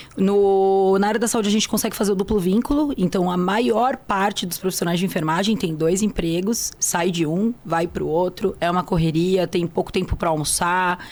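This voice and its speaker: Over noticeable background noise, a woman speaks at a moderate pace with medium pitch, ordinary pitch variation, very even loudness, and hardly any pauses. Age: 30s. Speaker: nurse. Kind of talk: interview.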